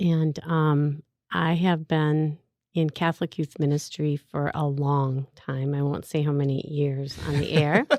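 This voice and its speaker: Speaking with a Minnesota accent, a woman has a very deep, low pitch and fairly even intonation. Her fairly slow speech has a dry, close sound with no echo. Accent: Minnesota accent, noticeable. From Minnesota, Saint Paul. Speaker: youth minister. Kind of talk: casual interview. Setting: radio studio.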